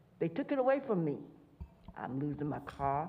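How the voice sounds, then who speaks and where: Against audible room echo, a woman speaks at a fairly low pitch with very wide pitch swings. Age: 80s+. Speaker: public commenter at city council. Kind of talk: public comment testimony. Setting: city council meeting.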